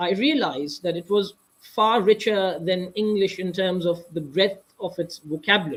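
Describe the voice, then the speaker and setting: Someone with a Pakistani accent talks at a moderate pace. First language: Urdu. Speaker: author. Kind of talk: interview. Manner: halting.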